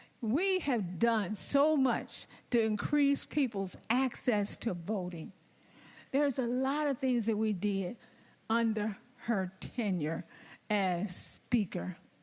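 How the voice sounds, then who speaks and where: With an American accent, a woman speaks at a very slow pace in a fairly high pitch. Her loudness stays very even. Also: lively intonation. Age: 60s. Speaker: state legislator. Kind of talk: floor speech. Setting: legislative chamber.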